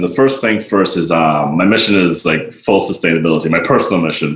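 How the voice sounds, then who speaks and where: A man with a very deep, low pitch and ordinary pitch variation talks over noticeable background noise. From Barbados. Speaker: sustainability advocate and restaurant worker. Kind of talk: podcast interview.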